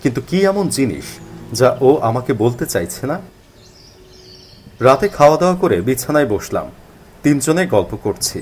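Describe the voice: Big pitch swings mark a man's medium-pitched voice, which has a slightly mellow tone and a slightly husky edge. He speaks at a fairly slow pace with long, frequent pauses.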